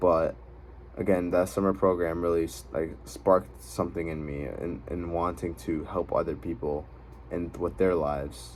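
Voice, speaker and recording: Vocal fry marks a man's very deep, low voice. He speaks at a moderate pace with ordinary pitch variation. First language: not English. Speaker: vlogger. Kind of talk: personal vlog monologue. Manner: fillers and self-corrections.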